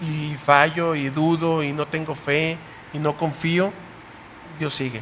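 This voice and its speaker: There's noticeable background noise. A man speaks in a fairly high pitch with monotone, flat intonation. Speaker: youth Bible study host, pastor. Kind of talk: panel discussion. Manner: fast.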